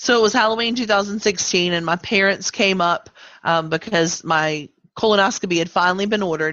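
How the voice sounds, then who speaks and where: A woman at medium pitch, fairly quick, with ordinary pitch variation and a slight Southern US accent. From Virginia. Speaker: cancer survivor and advocate. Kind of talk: interview. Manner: hesitant, many fillers.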